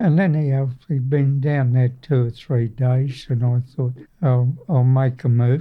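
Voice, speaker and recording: With a strong Australian accent, a man speaks fairly slowly at a medium pitch, his voice somewhat breathy, his intonation fairly even and his loudness very even. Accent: broad Australian. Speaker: navy veteran. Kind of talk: oral history interview. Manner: halting.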